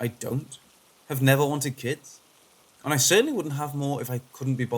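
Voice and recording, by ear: Someone is reading aloud in a natural voice.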